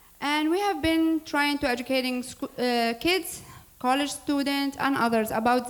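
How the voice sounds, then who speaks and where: Her Arabic accent is clear as a woman speaks at a moderate pace. Her pitch varies in an ordinary way. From Syria. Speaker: nonprofit board president. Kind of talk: public speech introducing a program. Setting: church hall with audience. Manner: formal.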